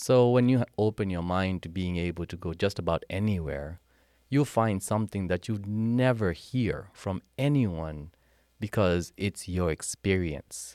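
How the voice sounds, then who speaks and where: A man with a Kenyan accent talks at a fairly slow pace in a very deep, low pitch, his tone dark and mellow, the sound dry and close with no echo. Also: ordinary pitch variation, very clean recording, silent background. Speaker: military veteran and healthcare software consultant. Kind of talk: casual interview. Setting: at a historic site, in person. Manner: energetic.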